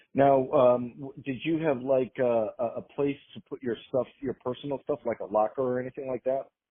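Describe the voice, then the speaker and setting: A man with an ordinary speaking voice, medium pitch, fairly even intonation, moderate pace and hardly any pauses. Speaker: oral history interviewer. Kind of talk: interview questions.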